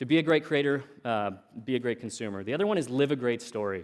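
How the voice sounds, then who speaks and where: Very fast speech in an American accent carries ordinary pitch variation. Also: man. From US Pacific Northwest, Oregon coast. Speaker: tech entrepreneur, conference speaker. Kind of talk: conference talk. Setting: stage with audience. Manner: casual, frequent fillers and repetitions.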